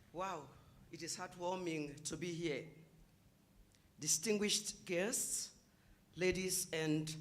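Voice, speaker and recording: Audible room echo surrounds a woman who talks very slowly. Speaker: heritage site representative. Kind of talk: speech of support.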